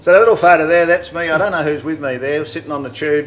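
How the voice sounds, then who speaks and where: The speaker has an Australian accent and ordinary pitch variation. Light background noise is audible. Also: man. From Broken Hill, New South Wales, Australia; New South Wales, Australia. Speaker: car builder and channel host; channel host. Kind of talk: casual chat. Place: home room.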